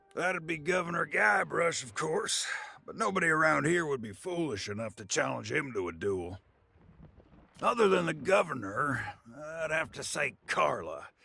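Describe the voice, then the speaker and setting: The speaker uses a put-on character voice that sounds raspy. The pace is moderate. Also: man, fairly high pitch for a man. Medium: video game. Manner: chatty, knowing.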